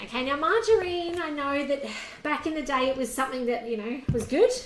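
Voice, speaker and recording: With an Australian accent, a high-pitched woman speaks at a moderate pace with lively intonation, and room echo is audible. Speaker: cooking demonstrator. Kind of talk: cooking tutorial. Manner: quiet; casual, chatty.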